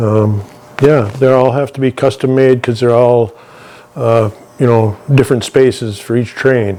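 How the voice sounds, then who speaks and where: A man at medium pitch speaks at a fairly slow pace with fairly even intonation. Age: 60s. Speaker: welder. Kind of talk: interview. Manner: halting.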